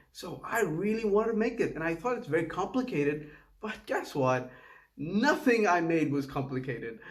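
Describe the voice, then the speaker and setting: Very wide pitch swings mark this voice with a Tamil accent, heard with audible room echo. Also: man. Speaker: home cook video creator. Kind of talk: casual cooking vlog voiceover. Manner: halting, with false starts.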